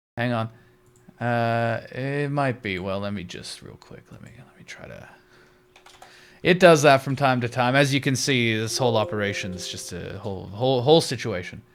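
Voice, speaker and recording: A plain, everyday voice from a man at medium pitch, moderate in pace, with ordinary pitch variation and big swings in loudness. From Canada, British Columbia. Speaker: streamer. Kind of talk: casual chat while gaming. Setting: live stream.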